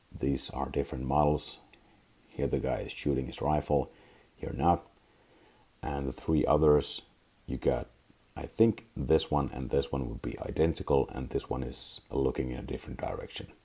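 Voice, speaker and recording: A man with a very deep, low pitch and vocal fry speaks in a dark, mellow tone at a moderate pace, with ordinary pitch variation and long, frequent pauses. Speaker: miniatures hobbyist. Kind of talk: casual talk to camera.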